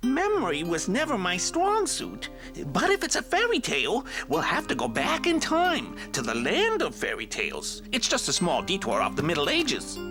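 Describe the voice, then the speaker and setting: Over loud music in the background, someone performs a cartoonish character voice. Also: moderate pace. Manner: musing, absent-minded.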